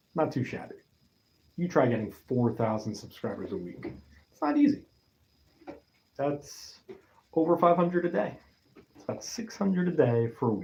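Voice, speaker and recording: A man's somewhat breathy, fairly high voice with very wide pitch swings, big swings in loudness, a moderate pace and long, frequent pauses. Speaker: YouTuber. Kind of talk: live stream monologue.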